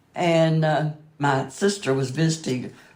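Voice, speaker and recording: A woman with an American accent speaks at a very deep, low pitch. Room echo is audible. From US South, southwest Virginia. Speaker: museum donor. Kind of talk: interview. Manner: halting.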